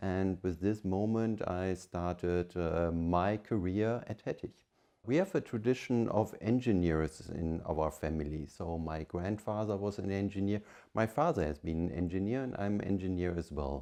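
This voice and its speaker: A man with a German accent speaks at a moderate pace in a very deep, low pitch and a dark, mellow tone against a quiet background. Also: ordinary pitch variation. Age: 50s. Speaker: family business leader. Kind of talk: interview monologue. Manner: hesitant with fillers.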